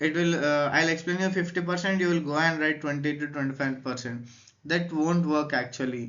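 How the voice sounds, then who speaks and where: Someone with an Indian accent talks at a fairly quick pace with fairly even intonation, and room echo is audible. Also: man, fairly high pitch for a man. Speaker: educational youtuber. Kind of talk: lecture. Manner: hesitant.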